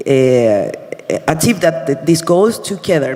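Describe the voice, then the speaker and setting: Noticeable background noise sits behind the voice. A man speaks with a Spanish accent. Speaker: university sustainability representative. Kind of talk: conference presentation. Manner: halting, many fillers.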